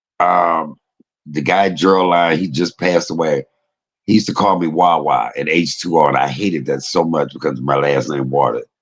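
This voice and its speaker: An animated man with an American accent, a very deep, low pitch, vocal fry and a moderate pace. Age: 50s. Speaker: online commentator. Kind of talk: casual chat.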